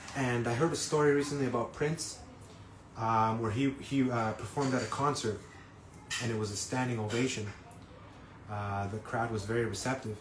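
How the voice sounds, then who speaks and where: There is noticeable background noise and audible room echo. A medium-pitched man speaks with fairly even intonation and long, frequent pauses. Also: moderate pace. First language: not English. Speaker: singer-songwriter. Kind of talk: live stream talk. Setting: Instagram live stream. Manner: halting, many fillers.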